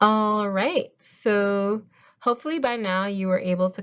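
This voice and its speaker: This woman has an ordinary speaking voice with ordinary pitch variation. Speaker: math tutor. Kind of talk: tutorial. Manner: casual, conversational.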